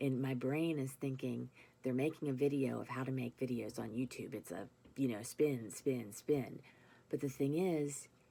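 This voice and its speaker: Her voice gravelly, with a dark, mellow tone and a very deep, low pitch, a woman talks at a moderate pace with fairly even intonation. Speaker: vlogger with chronic illness. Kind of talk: casual vlog monologue. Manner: halting, many fillers.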